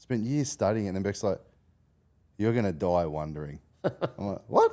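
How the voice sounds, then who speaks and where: A man with an Australian accent, dark and mellow in tone, lively intonation, fairly quick pace. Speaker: finance podcast host, mortgage broker. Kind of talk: casual interview chat. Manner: animated.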